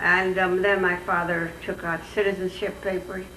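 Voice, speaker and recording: A woman with an American accent, amid audible room echo and noticeable background noise. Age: 80s+. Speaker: oral history interviewee. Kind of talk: oral history interview. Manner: halting.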